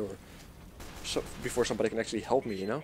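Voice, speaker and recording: A man with a Dutch accent talks with ordinary pitch variation. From Netherlands. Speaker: gaming YouTuber. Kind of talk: gameplay commentary. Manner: casual, hesitant with fillers.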